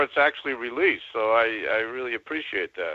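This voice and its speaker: A man in a normal speaking voice, with lively intonation and a fairly quick pace. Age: 60s. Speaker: caller, songwriter. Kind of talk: call-in conversation.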